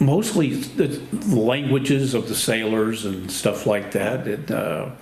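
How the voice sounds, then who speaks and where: A man with an American accent at a medium pitch, very slow pace and lively intonation, with noticeable background noise and audible room echo. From Texas, Houston (Gulf Coast). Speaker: war veteran. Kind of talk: oral history interview.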